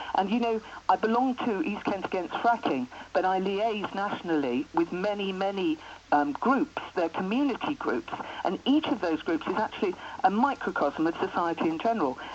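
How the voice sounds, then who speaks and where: Against noticeable background noise, a woman's medium-pitched voice makes very wide pitch swings. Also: moderate pace. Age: 60s. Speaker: writer and anti-fracking campaigner. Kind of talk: radio phone-in interview.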